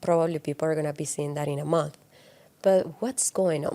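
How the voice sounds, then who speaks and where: Her tone dark and mellow, a woman speaks in a Spanish accent with a dry, close sound and no echo. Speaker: podcast co-host. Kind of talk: casual chat.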